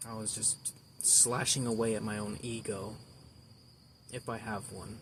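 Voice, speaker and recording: Somewhat breathy and at medium pitch, a man speaks at a fairly slow pace with fairly even intonation amid audible room echo. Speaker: amateur artist vlogger. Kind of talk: casual vlog monologue. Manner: halting, rambling with repeats.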